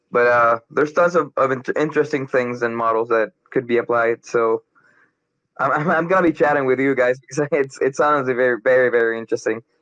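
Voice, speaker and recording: A man with a Spanish accent talks at a fairly quick pace and medium pitch, with ordinary pitch variation. His loudness stays very even, and the sound is dry and close with no echo. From Colombia. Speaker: crypto community member. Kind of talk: casual chat. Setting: online audio chat room.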